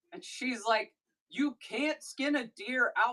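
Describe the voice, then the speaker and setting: A woman's bright, sharp voice with an American accent and lively intonation. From rural Missouri. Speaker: live-stream seller. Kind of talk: casual chat. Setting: live stream. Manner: animated.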